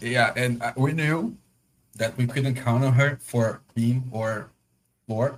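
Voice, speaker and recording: Speaking at a very slow pace, a man with a Portuguese accent uses a medium pitch. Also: fairly even intonation. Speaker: podcast host. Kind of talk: casual chat.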